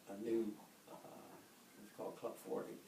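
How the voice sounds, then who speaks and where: Speaking with an American accent at a medium pitch, a man comes through audible room echo and noticeable background noise. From Ohio (coal town; childhood partly Detroit). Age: 70s. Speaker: grandfather telling family history. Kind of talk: casual family storytelling. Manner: halting, many fillers.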